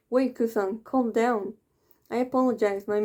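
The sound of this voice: Over a quiet background, the clip carries an unforced reading voice.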